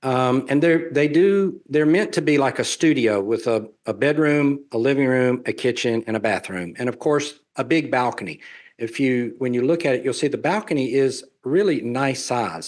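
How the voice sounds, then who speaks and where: In a Southern US accent, a man speaks at a medium pitch and a moderate pace with lively intonation. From US South. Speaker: real estate developer and traveler. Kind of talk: webinar presentation Q&A.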